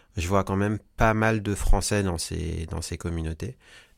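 A man speaks at a fairly slow pace with a very deep, low pitch and fairly even intonation. The recording is very clean, with a silent background. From French Guiana, then Paris. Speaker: singer-songwriter. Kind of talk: interview.

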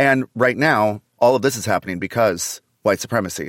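In a very clean recording with a silent background and a dry, close sound with no echo, a man uses a normal speaking voice at a moderate pace with ordinary pitch variation. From Canada. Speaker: comedian. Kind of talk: casual chat. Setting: in person studio.

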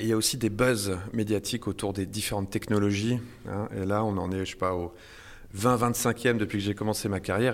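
At a moderate pace, a man with a fairly low pitch talks with fairly even intonation. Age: 40s. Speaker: podcast host. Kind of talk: interview.

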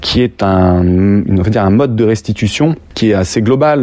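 This man's voice sits fairly low. He talks at a moderate pace with ordinary pitch variation. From France, Lyon. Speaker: street artist, muralist. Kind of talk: interview. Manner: halting, many hesitations.

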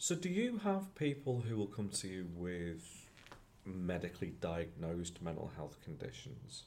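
This man has a very deep, low voice and lively intonation. He talks at a fairly slow pace, with audible room echo. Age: 50s. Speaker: podcast host and producer. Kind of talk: casual chat; scripted outro.

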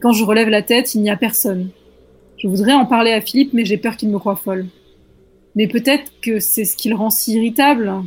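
A woman with a fairly high, somewhat breathy voice talks at a fairly quick pace. Her intonation is fairly even, and she takes long, frequent pauses. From rural France. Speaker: scriptwriter, podcast panelist. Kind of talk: reading aloud horror stories.

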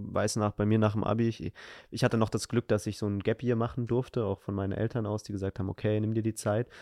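Speaking very fast, a man uses a fairly low pitch and a monotone, flat intonation with a dark, mellow tone. The recording is very clean with a silent background and a dry, close sound with no echo. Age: 20s. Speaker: podcast host. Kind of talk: casual chat.

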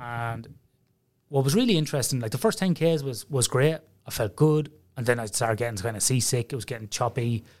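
A man talks fairly quickly, his voice sitting at a medium pitch. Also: ordinary pitch variation, very clean recording, silent background. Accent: Irish. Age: 40s. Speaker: sleep researcher. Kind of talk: casual interview chat.

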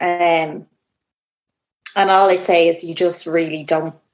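Fairly low for a woman, her voice carries an Irish accent. The intonation stays monotone and flat. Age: 30s. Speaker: first-time mother sharing birth story. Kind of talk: casual interview, personal story.

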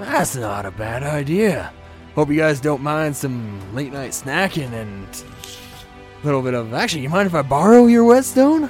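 A man puts on a character voice, pitched fairly high. He speaks at a moderate pace over clear music in the background. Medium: actual play. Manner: laid-back surfer-dude slang, friendly.

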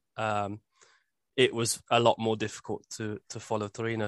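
Here a man with a Birmingham accent talks at medium pitch and a moderate pace. The sound is dry and close with no echo, over a quiet background. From Birmingham, England. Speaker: football podcast co-host. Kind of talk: casual chat.

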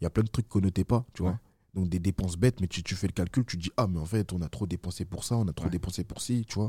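A man speaks very fast in a very deep, low voice that is somewhat breathy, with a dark, mellow tone. The recording is very clean and dry, close with no echo, over a silent background. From France, Villefontaine near Lyon. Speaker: event organizer. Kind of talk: casual interview.

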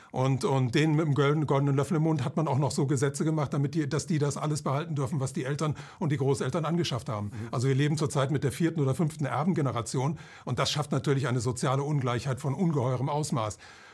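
Somewhat breathy and fairly high-pitched, a man talks at a very fast pace with ordinary pitch variation on a very clean recording with a silent background. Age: 70s. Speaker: author and financial commentator. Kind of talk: interview.

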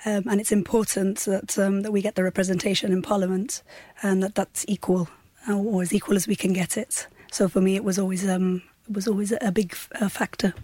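The voice has a dark, mellow tone, is somewhat breathy with fairly even intonation, and sounds dry and close with no echo. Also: woman, medium pitch for a woman, fairly quick pace. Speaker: lawyer and political candidate. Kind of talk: radio interview. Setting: studio. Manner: hesitant, many fillers.

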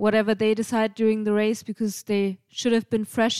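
With a German accent, a woman speaks at a fairly high pitch in a dark, mellow tone with fairly even intonation and a dry, close sound with no echo. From Germany, Bavaria. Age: 30s. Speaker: race support crew member. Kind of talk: casual chat.

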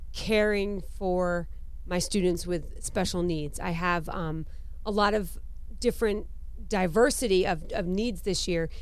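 A woman talks at a fairly slow pace, and audible room echo hangs around her words. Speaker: podcast co-host. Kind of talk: casual chat.

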